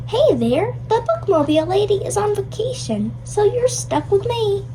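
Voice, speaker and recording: A cartoonish character voice talks at a moderate pace over loud background noise. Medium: puppet show. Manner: gruff, stubborn.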